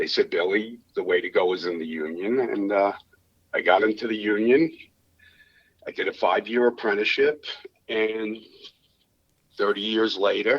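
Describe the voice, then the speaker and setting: With an American accent, a man speaks at a moderate pace, leaving long, frequent pauses. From US Northeast, Long Island, New York. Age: 50s. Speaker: electrician turned LED lighting salesman. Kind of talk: podcast interview. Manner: halting, with repetitions.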